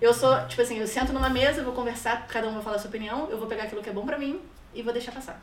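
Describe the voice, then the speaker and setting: A woman's high voice in a Rio de Janeiro accent at a very fast pace, with big swings in loudness, audible room echo and noticeable background noise. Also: ordinary pitch variation. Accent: carioca. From Rio de Janeiro, Brazil. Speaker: immigrant guest. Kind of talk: casual interview.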